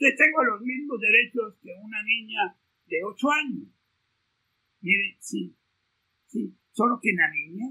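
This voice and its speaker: A man talks at a very slow pace and an extremely high pitch, with ordinary pitch variation, big swings in loudness, and long, frequent pauses. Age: 70s. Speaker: law professor. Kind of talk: lecture.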